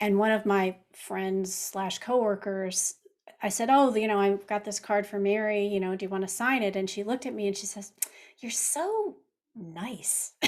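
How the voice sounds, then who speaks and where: A woman speaks with an ordinary speaking voice at a medium pitch. Her intonation is fairly even and her pace moderate. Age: 60s. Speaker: podcast host and cookbook author. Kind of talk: interview conversation.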